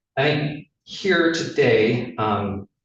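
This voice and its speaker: A somewhat breathy male voice. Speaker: attorney for the defense. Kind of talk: legal argument in court. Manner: halting, many filler ums.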